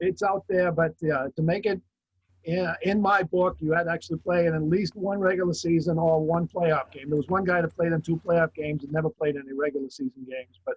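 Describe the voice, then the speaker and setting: A man with an American accent talks at a fairly quick pace, his high pitch carried by fairly even intonation. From Massachusetts, Brockton. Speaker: author and football historian. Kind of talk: interview.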